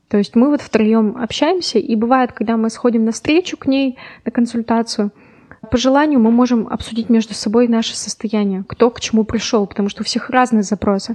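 Noticeable background noise runs behind a woman's voice. She speaks at a fairly high pitch with ordinary pitch variation. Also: moderate pace, dry, close sound with no echo. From Urals, Russia (Yekaterinburg). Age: 20s. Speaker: lawyer. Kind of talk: casual chat. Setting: studio.

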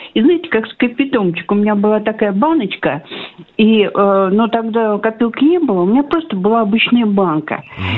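The intonation is lively, with noticeable background noise. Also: woman, fairly high pitch for a woman, fairly quick pace. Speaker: radio caller. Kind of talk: casual phone chat. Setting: phone call. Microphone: line drops out, gaps in sound.

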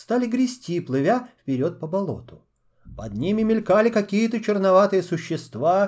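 The background stays quiet. Someone is doing plain reading aloud.

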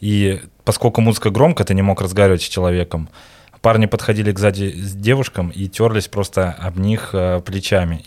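A man talks at a fairly quick pace in a very deep, low pitch with fairly even intonation. The recording is very clean with a silent background. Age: 30s. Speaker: barber. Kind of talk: casual chat. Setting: studio.

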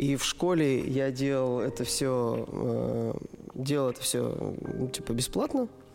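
A man at a very slow pace and very even loudness, noticeable background noise behind him. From Russia, Perm. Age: 30s. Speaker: dance studio owner and event organizer. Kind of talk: casual interview chat. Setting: studio.

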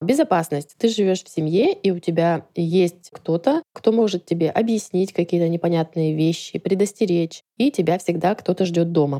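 A woman with a fairly low pitch and a dark, mellow tone talks with hardly any pauses, her sound dry and close with no echo. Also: ordinary pitch variation, moderate pace, very even loudness. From Russian Far East. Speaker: podcast listener, former au pair. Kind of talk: recorded testimony.

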